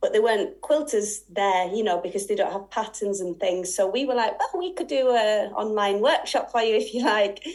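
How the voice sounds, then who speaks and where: A woman's fairly high-pitched, fairly quick speech in a Yorkshire accent. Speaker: sewing and quilting teacher. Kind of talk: interview. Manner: halting.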